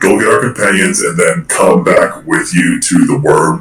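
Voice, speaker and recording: A man in a put-on character voice at a moderate pace. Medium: actual play. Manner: intimidating.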